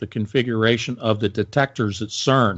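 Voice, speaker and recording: A man is speaking. He keeps a moderate pace with ordinary pitch variation. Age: 60s. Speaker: conspiracy commentator. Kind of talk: casual chat. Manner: animated.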